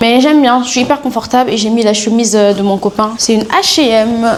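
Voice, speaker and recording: Against noticeable background noise, a woman talks fairly quickly in a fairly high pitch with fairly even intonation. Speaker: lifestyle vlogger. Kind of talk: casual vlog talk. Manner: casual, hesitant with fillers.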